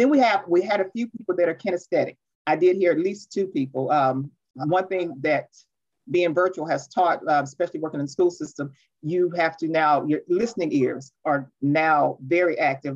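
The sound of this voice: Her voice is low for a woman, slightly husky and slightly mellow, moving at a moderate pace with ordinary pitch variation.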